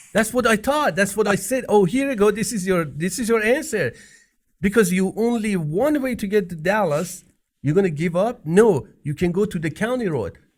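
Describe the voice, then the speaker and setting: A man with a non-native accent and a high voice speaks at a moderate pace with lively intonation, on a very clean recording with a silent background. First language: not English. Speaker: podcast co-host. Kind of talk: casual chat.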